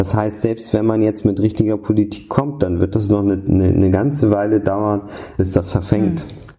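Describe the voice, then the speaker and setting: Fairly even intonation from a man with a fairly low voice, noticeable background noise behind him. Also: moderate pace, very even loudness. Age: 30s. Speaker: political analyst and editor. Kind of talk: interview. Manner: frequent repetitions and hesitations.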